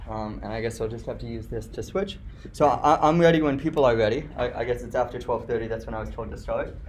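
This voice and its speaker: With audible room echo, a man rushes along at a very fast pace, his loudness swinging widely. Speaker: guest lecturer. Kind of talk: lecture. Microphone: slightly echoey.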